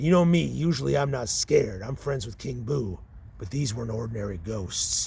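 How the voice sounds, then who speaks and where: A man puts on a character voice at a medium pitch. Background noise is clearly audible. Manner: boastful, gruff.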